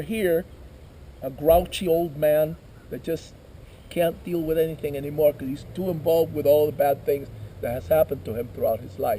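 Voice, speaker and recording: This is a man speaking. He keeps a moderate pace. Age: 50s. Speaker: shamanic ceremony leader. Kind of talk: ceremonial teaching. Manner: conversational.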